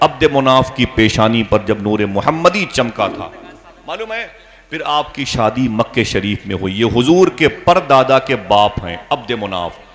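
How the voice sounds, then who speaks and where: Against noticeable background noise, a man speaks in a medium pitch with lively intonation. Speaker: Islamic preacher. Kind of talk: religious sermon. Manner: impassioned, emphatic.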